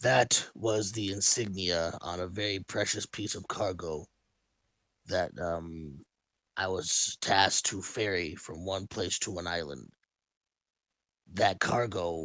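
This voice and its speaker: In a put-on character voice, a man speaks with a very deep, low pitch and a raspy sound at a fairly slow pace, with long, frequent pauses, on a very clean recording with a silent background. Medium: actual play.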